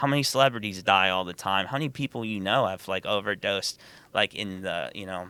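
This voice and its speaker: This man has a normal speaking voice with a fairly low pitch and ordinary pitch variation, with an American accent. He talks at a fairly quick pace on a very clean recording with a silent background. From Ohio, US Midwest (Columbus). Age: 30s. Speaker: recovering addict, former music marketer. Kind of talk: casual interview, testimony.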